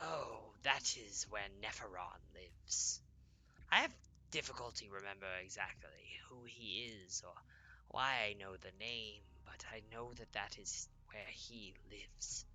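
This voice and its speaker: Over clear background noise, a man whispers in a put-on character voice at a moderate pace. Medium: actual play. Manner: vague, musing.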